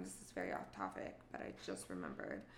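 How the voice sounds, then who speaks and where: Noticeable background noise runs through the clip. Audible room echo surrounds the sound. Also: woman. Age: 20s. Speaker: podcast host. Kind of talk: personal storytelling monologue. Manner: casual and chatty.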